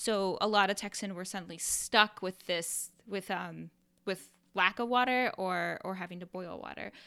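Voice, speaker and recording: In a very clean recording with a silent background, a woman with an American accent speaks at medium pitch and a moderate pace, her bright, sharp voice showing vocal fry, fairly even intonation and big swings in loudness. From US Midwest, Iowa. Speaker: podcast co-host. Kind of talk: casual chat.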